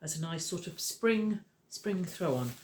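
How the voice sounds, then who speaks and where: Her intonation is lively and her pace moderate. The woman's voice is somewhat breathy. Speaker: crochet and knitting teacher, craft vlogger. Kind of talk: casual vlog chat. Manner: chatty, hesitant with fillers.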